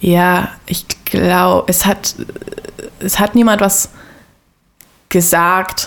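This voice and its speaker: A woman speaks very slowly in a flat monotone. She leaves long, frequent pauses. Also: medium pitch for a woman. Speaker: podcast guest. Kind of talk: casual interview about faith and life.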